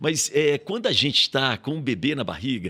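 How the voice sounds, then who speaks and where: Recorded very cleanly against a silent background, this man speaks at a moderate pace with a bright, sharp tone and lively intonation. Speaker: radio broadcaster and professor. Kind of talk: podcast interview. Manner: animated.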